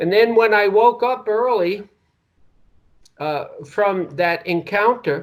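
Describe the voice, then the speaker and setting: With long, frequent pauses, a man speaks very slowly in a high pitch with ordinary pitch variation. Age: 60s. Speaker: retired sociology professor and writer. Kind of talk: interview.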